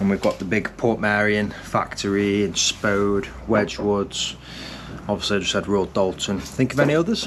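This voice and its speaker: Amid noticeable background noise, a man speaks at a moderate pace with very even loudness. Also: fairly low pitch for a man, ordinary pitch variation. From northern England (Stoke-on-Trent, the Potteries). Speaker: travel vlogger. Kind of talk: casual vlog chat.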